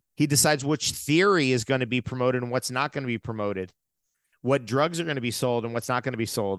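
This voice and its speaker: In an ordinary speaking voice, a man with an American accent talks at medium pitch with ordinary pitch variation, the sound dry and close with no echo. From New York and New Jersey. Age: 50s. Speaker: natural health advocate. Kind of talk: casual interview.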